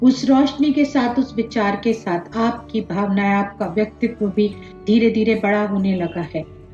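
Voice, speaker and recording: A woman with a fairly high pitch speaks with hardly any pauses. Her pitch varies in an ordinary way over music in the background. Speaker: meditation guide. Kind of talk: guided meditation. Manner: slow, calm, soothing.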